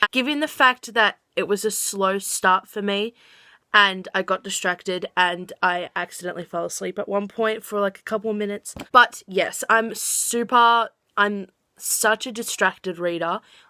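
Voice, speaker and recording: In an Australian accent, a woman speaks at a medium pitch and moderate pace with a bright, sharp tone and fairly even intonation. The recording is very clean, with a silent background. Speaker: book vlogger. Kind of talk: casual vlog talk. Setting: home kitchen at night. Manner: quiet.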